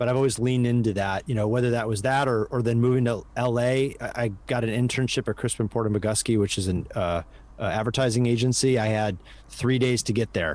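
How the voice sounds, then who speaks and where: This man talks at a fairly quick pace in a medium pitch, his intonation fairly even and his loudness very even. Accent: Midwestern American. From US Midwest. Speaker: advertising professional and podcast co-host. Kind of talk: interview conversation.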